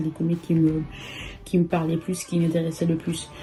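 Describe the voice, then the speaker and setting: A woman with a fairly low voice talks at a fairly quick pace over background music. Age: 20s. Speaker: socio-economist. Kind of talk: interview testimony. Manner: hesitant, many fillers.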